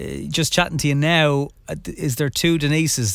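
A man talks at a moderate pace. His voice sits at a medium pitch.

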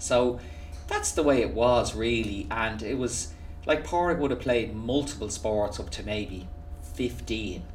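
A man with a Dublin accent talks at a fairly slow pace in a medium pitch, with very wide pitch swings. Music plays in the background, and there is audible room echo. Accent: Irish (Dublin). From Ireland, Dublin. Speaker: golf coach. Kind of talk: interview. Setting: golf academy facility.

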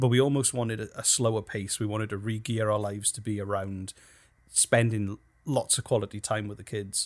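Speaking with a British accent, a man with a fairly low pitch and fairly even intonation moves at a fairly quick pace in a very clean recording with a silent background. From United Kingdom. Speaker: podcast producer and company co-founder. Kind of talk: casual interview.

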